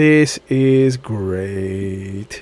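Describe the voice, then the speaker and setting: A man uses a put-on character voice. His pitch is fairly low. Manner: sarcastic, flat.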